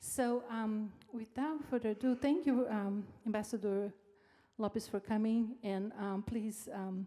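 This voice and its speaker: A woman with a Brazilian accent speaks in a dark, mellow, somewhat breathy tone with fairly even intonation. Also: fairly high pitch for a woman, fairly slow pace. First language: Portuguese. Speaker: event host at a university. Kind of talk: formal speaker introduction.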